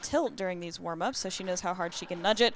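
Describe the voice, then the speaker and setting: At a fairly quick pace, this is an unremarkable speaking voice with ordinary pitch variation. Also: woman. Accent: American. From Colorado. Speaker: pinball commentator. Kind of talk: live commentary.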